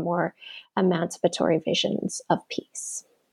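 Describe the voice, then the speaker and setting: A woman with a Canadian accent talks at a fairly slow pace in a normal speaking voice, pitched at a medium level. The sound is dry and close with no echo, over a quiet background. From Canada. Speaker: academic author. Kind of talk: interview.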